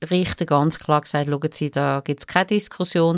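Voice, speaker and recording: A woman with a Swiss accent and a very deep, low pitch, in a dry, close sound with no echo. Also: very clean recording, silent background. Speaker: court reporter. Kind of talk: casual chat.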